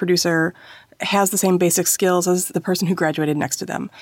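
Someone talks at a fairly quick pace in a normal speaking voice. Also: woman. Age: 40s. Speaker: podcast co-host. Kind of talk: casual chat.

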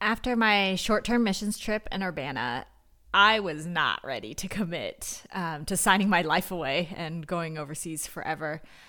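A woman's fairly low voice with a Californian accent, moderate pace and lively intonation, bright and sharp in tone, on a very clean recording with a silent background. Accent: General American (California). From Northern California. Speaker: missionary. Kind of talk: interview testimony.

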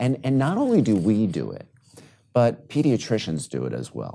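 In an American accent, a man speaks with a dark, mellow tone and vocal fry. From New York City. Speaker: physician. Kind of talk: interview.

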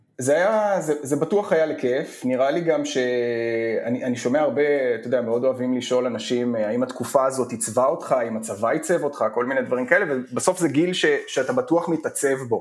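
Fairly quick delivery with hardly any pauses and ordinary pitch variation, over noticeable background noise. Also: man, fairly high pitch for a man. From Israel, Emek Hefer coastal moshav. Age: 30s. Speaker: tech entrepreneur. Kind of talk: casual interview.

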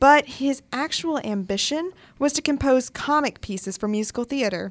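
On a very clean recording with a silent background, a woman speaks at a moderate pace. She has an ordinary speaking voice with lively intonation. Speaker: radio co-host. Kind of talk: live college radio show, casual chat.

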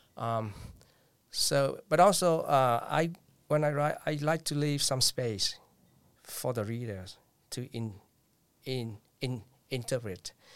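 Speaking very slowly with long, frequent pauses, a man talks with a Vietnamese accent. His pitch is medium, with ordinary variation. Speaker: poet and librarian. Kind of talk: interview. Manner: halting.

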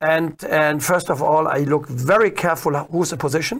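Speaking with a German accent, a man with a high pitch talks at a fairly slow pace with ordinary pitch variation. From Germany. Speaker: dressage trainer. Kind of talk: interview.

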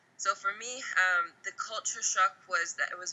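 A woman with a Texas accent. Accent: American, Texas. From US (Oklahoma and Texas). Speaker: football coach and former national team captain. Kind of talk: interview.

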